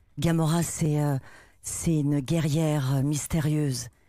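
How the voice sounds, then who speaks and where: A woman's very deep, low, dark and mellow voice, monotone and flat, at a very slow pace, in a very clean recording with a silent background. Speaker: voice actor. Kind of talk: TV talk show interview. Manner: hesitant, many fillers.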